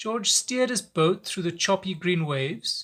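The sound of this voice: An unforced reading voice carries the text with lively intonation.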